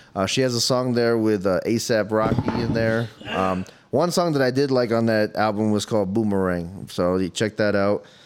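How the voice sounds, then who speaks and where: A man talks with hardly any pauses in a fairly low voice with ordinary pitch variation. Noticeable background noise is present. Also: moderate pace, very even loudness. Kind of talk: casual comedy chat.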